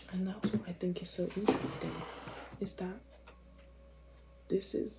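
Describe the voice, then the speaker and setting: A woman whispers at a fairly quick pace. Music plays in the background. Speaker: vlogger. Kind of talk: casual monologue. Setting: at home at night. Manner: whispering.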